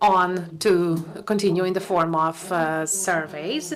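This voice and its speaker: A woman of medium pitch talks in a space with audible room echo. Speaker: academic researcher presenting at a conference. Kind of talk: conference presentation. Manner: halting.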